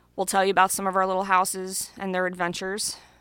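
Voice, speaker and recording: Very clean and with a silent background, the recording has a woman speaking at a very fast pace with medium pitch and monotone, flat intonation. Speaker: podcast co-host. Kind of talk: casual chat. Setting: home basement studio. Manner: loud.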